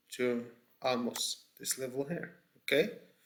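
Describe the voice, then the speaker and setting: A man at medium pitch with a non-native accent, speaking at a very slow pace. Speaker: trading educator. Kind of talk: tutorial. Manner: halting, many fillers and repeats.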